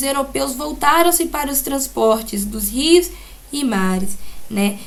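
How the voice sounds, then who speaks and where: The room echoes audibly as a woman speaks. She goes very slowly, with lively intonation. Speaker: school teacher. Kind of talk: recorded lesson. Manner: halting with fillers.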